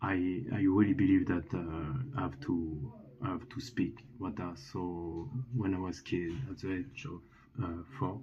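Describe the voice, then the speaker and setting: Speaking fairly slowly with a French accent, a man has a very deep, low voice. His intonation is lively and his voice somewhat breathy. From France. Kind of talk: testimony. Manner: halting, many fillers and restarts.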